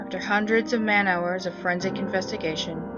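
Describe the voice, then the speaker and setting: Background noise can be clearly heard. The talking keeps a moderate pace. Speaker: amateur story narrator. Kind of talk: horror story narration.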